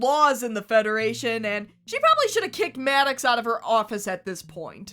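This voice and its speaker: Over music in the background, a woman talks at a fairly quick pace in a raised, projected voice. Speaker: YouTube TV analysis host. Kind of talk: video essay narration. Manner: wry, humorous.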